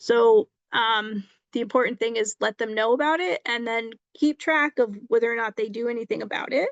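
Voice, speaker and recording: A woman's fairly high voice with ordinary pitch variation, dry and close with no echo, against a quiet background. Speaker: legal presenter. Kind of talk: presentation on tenant rights. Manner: fast; halting with many ums.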